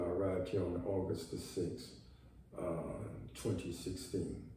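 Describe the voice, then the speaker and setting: Audible room echo hangs on this recording. The man speaking has an American accent. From US South, New Orleans, Louisiana. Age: 60s. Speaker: vlogger. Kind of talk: personal video monologue. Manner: halting, with many fillers.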